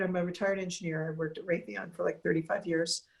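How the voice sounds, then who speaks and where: A woman is talking here. There is a somewhat breathy quality to her voice. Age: 50s. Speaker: cancer survivor, retired engineer. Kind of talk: interview. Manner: halting.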